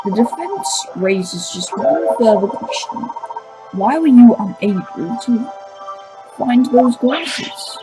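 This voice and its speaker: A put-on character voice, fairly high in pitch and fairly slow, over clear background music. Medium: actual play. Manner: courteous, measured.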